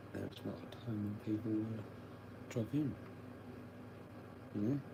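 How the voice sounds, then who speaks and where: A man's fairly low, somewhat breathy voice has a dark, mellow tone and fairly even intonation, with audible room echo around it. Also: moderate pace. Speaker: livestreamer. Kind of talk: casual livestream chat. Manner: low, mumbling at times; up and down in volume. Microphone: sometimes too quiet.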